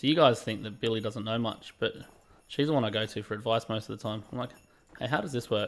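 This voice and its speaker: With an Australian accent, a man talks very fast at a medium pitch. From England. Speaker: gaming livestreamer. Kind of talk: casual livestream chat. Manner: animated.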